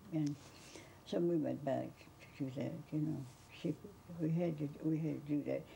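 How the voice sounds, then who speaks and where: Speaking at a moderate pace with long, frequent pauses, a woman with an American accent has a very deep, low pitch, vocal fry, a dark, mellow tone, monotone, flat intonation and very even loudness over light background noise. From Georgia, US. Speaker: interviewee recalling a famous author; interviewee. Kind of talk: interview reminiscence. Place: home room.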